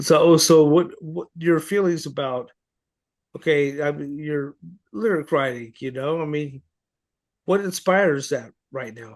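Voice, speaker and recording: Speaking at a fairly slow pace with long, frequent pauses, a man with a fairly high voice shows ordinary pitch variation and big swings in loudness. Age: 50s. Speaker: podcast host. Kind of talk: interview.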